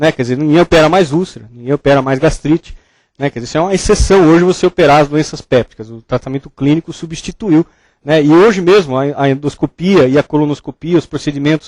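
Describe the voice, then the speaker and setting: A man speaks at a very fast pace with a fairly high pitch and ordinary pitch variation. The sound is dry and close, with no echo. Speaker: medical lecturer, surgeon. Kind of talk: lecture. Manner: casual, conversational.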